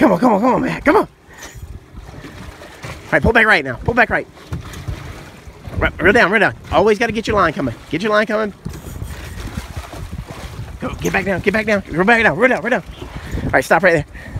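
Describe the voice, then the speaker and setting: Lively intonation marks a man's fairly quick speech. The sound is dry with no echo, with light background noise. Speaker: fishing captain coaching angler. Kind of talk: excited coaching commentary. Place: boat. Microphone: phone near.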